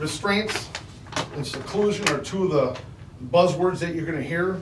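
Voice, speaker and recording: Loud and lively in intonation, a man with a high voice speaks at a moderate pace over noticeable background noise and audible room echo. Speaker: school staff trainer. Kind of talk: board presentation. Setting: school board meeting.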